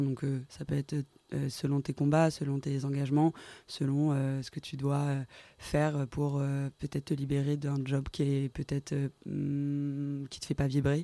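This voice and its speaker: At a very slow pace, a woman with a very deep, low pitch and a dark, mellow tone speaks in monotone, flat intonation, the sound dry and close with no echo on a very clean recording with a silent background. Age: 20s. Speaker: creative studio co-founder and stylist. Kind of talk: interview. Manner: halting.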